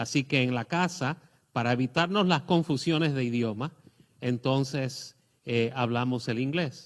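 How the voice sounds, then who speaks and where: This man talks at a fairly slow pace with a medium pitch and ordinary pitch variation. The recording is very clean, with a silent background. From Puerto Rico. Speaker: guest pastor. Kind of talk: testimony. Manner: halting, many fillers.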